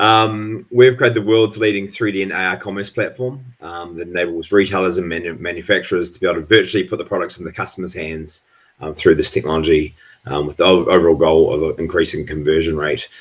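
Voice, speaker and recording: Very deep, low-pitched man in a New Zealand accent, at a very fast pace with big swings in loudness. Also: ordinary pitch variation. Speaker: tech company executive. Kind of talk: panel discussion.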